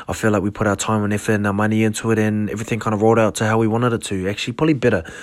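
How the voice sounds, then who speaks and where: Speaking at a very fast pace, a man holds a fairly low pitch with monotone, flat intonation. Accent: New Zealand. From New Zealand, South Auckland. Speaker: podcast host, clothing brand owner. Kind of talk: casual solo monologue. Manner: halting, many fillers.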